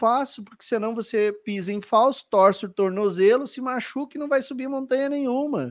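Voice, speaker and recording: In a strong gaúcho accent, a man with an extremely high voice speaks at a moderate pace with ordinary pitch variation. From southern Brazil, Porto Alegre. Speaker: podcast host and flight attendant coach. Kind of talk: live-streamed interview podcast. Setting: live stream video call. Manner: animated.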